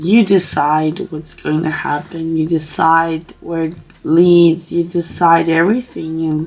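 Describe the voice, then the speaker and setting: A woman's very slow speech with a non-native accent, fairly low pitch, and music in the background. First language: not English. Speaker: writing vlogger. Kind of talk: reflective vlog talk. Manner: halting.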